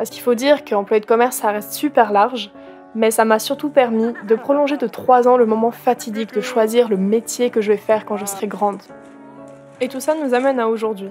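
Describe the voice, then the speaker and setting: A woman's fairly high-pitched, fairly quick speech with ordinary pitch variation over music in the background. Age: 20s. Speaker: content creator. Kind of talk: scripted narration. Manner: animated.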